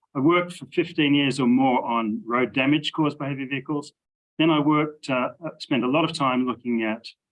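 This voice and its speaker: This man speaks at a moderate pace. He has an Australian accent. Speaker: engineering professor. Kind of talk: interview.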